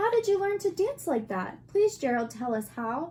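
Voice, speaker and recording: A woman's put-on character voice, squeaky and extremely high, with very wide pitch swings at a moderate pace. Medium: read story.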